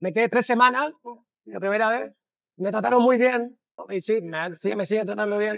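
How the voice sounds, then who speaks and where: A high-pitched man with a Chilean accent and ordinary pitch variation. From Chile, Santiago. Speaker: bookshop owner, philosopher. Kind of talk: interview. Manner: halting.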